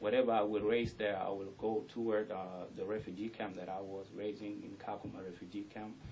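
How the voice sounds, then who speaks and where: Over audible room echo, a man with a fairly low pitch speaks at a fairly quick pace in a monotone, flat delivery. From South Sudan. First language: South Sudanese language (mother tongue). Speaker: rapper. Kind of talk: radio interview. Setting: radio studio.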